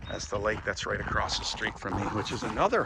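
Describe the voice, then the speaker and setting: A man's voice with noticeable background noise. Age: 60s. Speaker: homesteader vlogger. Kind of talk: casual vlog monologue. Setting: outdoors, walking. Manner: halting, many fillers.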